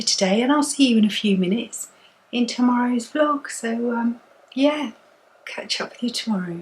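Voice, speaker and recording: A woman speaks with an English accent in a relaxed tone. Her pitch is high, with ordinary pitch variation. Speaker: knitting vlogger. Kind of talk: casual vlog chat. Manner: relaxed, chatty.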